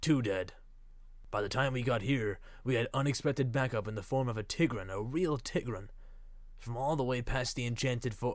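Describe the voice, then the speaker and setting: Someone performs a put-on character voice at a moderate pace in a very clean recording with a silent background. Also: man, medium pitch for a man. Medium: read story. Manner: formal, addresses others as ma'am.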